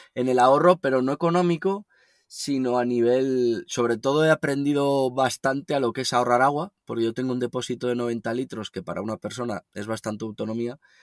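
In a normal speaking voice, a man at medium pitch talks with ordinary pitch variation and hardly any pauses. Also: fairly quick pace. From northern Spain, Logroño. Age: 30s. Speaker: van lifer and writer. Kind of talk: interview. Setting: remote call.

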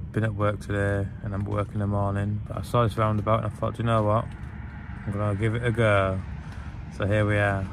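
A man talks at a fairly quick pace in a fairly low, flat monotone, with noticeable background noise and a dry sound that has no echo. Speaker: camping vlogger. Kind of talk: casual vlog chat. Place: tent. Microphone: phone near.

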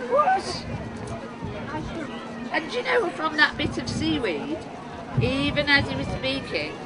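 A woman talks at a very slow pace while crowd noise carries in the background. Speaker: storyteller. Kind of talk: live folk tale storytelling. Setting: outdoors. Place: tent. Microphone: camera far.

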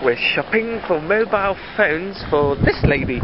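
Moderate-paced speech from a man, noticeable background noise around it. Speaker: vlogger. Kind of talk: casual vlog chat.

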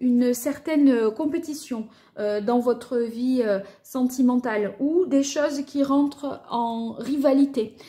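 A woman speaks at a very slow pace over a quiet background. Her voice is high with ordinary pitch variation. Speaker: card reader. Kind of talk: tarot reading commentary.

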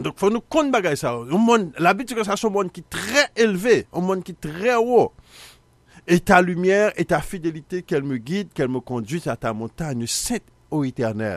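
Using a Haitian accent, a man speaks high in pitch with very wide swings, in a dry sound with no echo against a quiet background. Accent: Haitian Creole-accented French. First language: Haitian Creole (speaking French). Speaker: Bible teacher, TV show host; Bible teacher, TV host. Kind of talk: biblical teaching broadcast; sermon-style Bible teaching. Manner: halting, repetitive. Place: studio. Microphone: studio mic.

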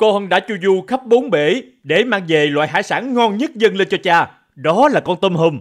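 With lively intonation and a high pitch, a man speaks at a moderate pace on a very clean recording with a silent background. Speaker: voice actor playing characters. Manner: animated, theatrical, shifting into royal and princely character voices.

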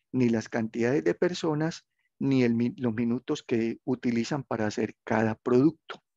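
A man's medium-pitched, dark, mellow voice at a moderate pace, with a dry, close sound with no echo and a quiet background. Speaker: university tutor. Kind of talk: online class tutorial.

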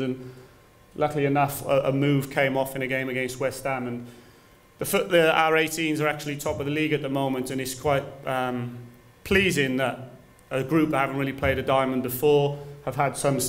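Fairly even intonation from a man at a fairly quick pace. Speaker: football coach presenter. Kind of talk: lecture. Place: classroom. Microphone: podium.

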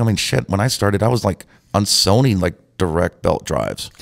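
A man with an American accent talks at a very fast pace in a fairly low pitch. His pitch varies in an ordinary way, and the background is quiet. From Montana, US. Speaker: DJ; guest. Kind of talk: casual chat. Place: studio. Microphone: studio mic.

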